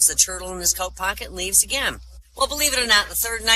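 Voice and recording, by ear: The voice is reading aloud in a natural voice.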